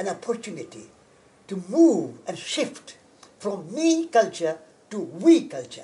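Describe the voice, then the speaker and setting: Speaking fairly slowly, a man uses a high voice with very wide pitch swings. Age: 80s+. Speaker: environmental activist and college founder. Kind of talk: interview. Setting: on location at a historic estate. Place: garden.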